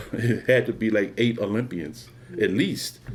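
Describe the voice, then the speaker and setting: A man with a Philadelphia accent, at a fairly slow pace. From Philadelphia, Pennsylvania. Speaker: former college track athlete. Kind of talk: oral history interview answer. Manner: casual, reflective.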